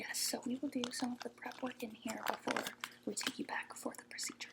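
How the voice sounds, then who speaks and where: Over noticeable background noise, a woman whispers at a fairly quick pace. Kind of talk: ASMR roleplay, soft-spoken role-play as a medical professional. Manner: soft-spoken.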